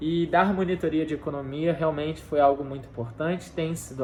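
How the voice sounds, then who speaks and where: A man talks at a fairly quick clip with a fairly high pitch. Noticeable background noise runs behind him. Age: 20s. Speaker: university student tutor. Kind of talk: personal testimony.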